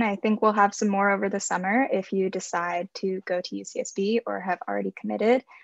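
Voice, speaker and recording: A woman at a moderate pace, dry with no echo, over a quiet background. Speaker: student program coordinator. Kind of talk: Q&A moderation. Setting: video call. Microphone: video call.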